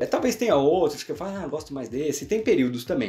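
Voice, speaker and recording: A man's very fast delivery with lively intonation. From Brazil. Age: 20s. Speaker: YouTuber. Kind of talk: casual monologue. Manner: casual. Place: home room.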